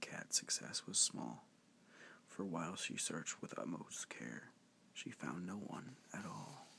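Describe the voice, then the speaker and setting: Someone is whispering at a fairly slow pace. Background noise is noticeable. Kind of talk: bedtime story reading. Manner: soft-spoken.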